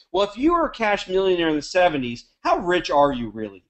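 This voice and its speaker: A man speaks fairly quickly in a high pitch with an American accent. His tone is animated. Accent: sounds American. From Canada. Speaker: network marketing leader. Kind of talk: webinar talk. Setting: conference call.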